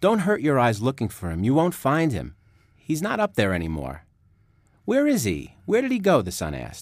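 A man speaks at a moderate pace, his pitch swinging very widely. The recording is very clean, with a silent background. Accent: New York. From New York. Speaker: author. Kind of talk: interview and reading book aloud.

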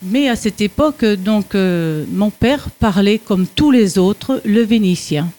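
A woman speaks at a medium pitch, somewhat breathy, with ordinary pitch variation. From France. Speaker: retiree, Italian conversation learner. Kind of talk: radio interview.

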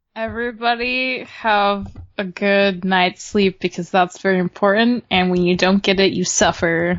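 With an unremarkable speaking voice, a woman talks fairly slowly at a medium pitch, her intonation fairly even and her loudness very even. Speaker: podcast co-host. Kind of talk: casual chat.

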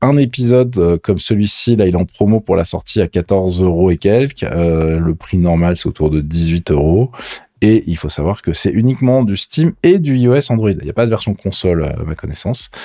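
Here a man with a fairly low pitch and a dark, mellow tone speaks. His intonation is lively and his pace moderate. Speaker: gaming and tech podcast co-host. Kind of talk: casual chat. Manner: animated.

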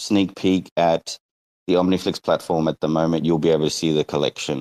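A man at a moderate pace, in a very clean recording with a silent background and a dry, close sound free of echo. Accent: Australian. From Northern Territory, Australia. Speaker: NFT game creator. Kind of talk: casual chat.

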